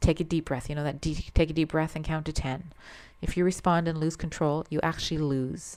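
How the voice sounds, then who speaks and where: Fairly quick, fairly even speech on a very clean recording with a silent background. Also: woman. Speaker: nursing lecturer. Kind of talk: recorded lecture. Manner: lower and calmer.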